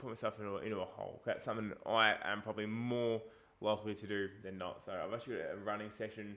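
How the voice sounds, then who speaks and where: Speaking very fast in an Australian accent, a man keeps a fairly low pitch and a flat, monotone intonation. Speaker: fitness coach. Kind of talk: casual vlog talk. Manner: casual, chatty.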